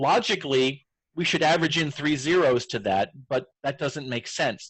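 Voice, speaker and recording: An unremarkable speaking voice goes at a moderate pace with ordinary pitch variation. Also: man. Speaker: educational technology trainer. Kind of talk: tutorial.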